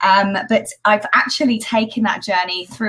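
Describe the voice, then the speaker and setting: Over noticeable background noise, a woman speaks with a British accent at a fairly quick pace. Her pitch varies in an ordinary way. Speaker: education entrepreneur. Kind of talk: interview. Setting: live video stream.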